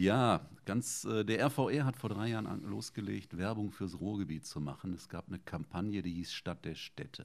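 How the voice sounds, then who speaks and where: Vocal fry runs through this man's fairly low-pitched voice, and he speaks with hardly any pauses. His pace is moderate and his intonation lively. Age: 50s. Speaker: podcast host. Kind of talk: casual interview.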